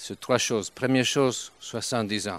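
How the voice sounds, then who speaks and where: A man speaks with an Italian accent and fairly even intonation. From Italy, Turin. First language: Italian (speaking French). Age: 70s. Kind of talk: sermon. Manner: halting.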